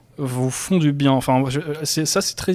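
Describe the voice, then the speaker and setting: A man talks in a plain, everyday voice at a moderate pace. His pitch is fairly high. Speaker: podcast host. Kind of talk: casual podcast talk.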